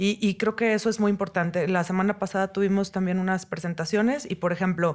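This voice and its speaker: In an ordinary speaking voice, a woman talks at a medium pitch and moderate pace with fairly even intonation, on a very clean recording with a silent background. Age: 40s. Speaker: UX designer and teacher. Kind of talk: interview.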